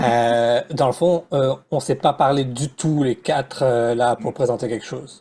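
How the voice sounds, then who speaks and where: In a normal speaking voice, a man keeps a medium speed and lets his pitch shift in a usual way. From Réunion Island. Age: 30s. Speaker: educator and presenter. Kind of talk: panel discussion.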